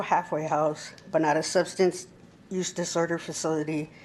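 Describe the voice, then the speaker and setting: A woman speaks in an American accent, shaky and at a moderate pace. Her intonation is monotone and flat. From Imperial County, California (Brawley). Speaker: public commenter. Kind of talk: public comment read from phone. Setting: county board meeting.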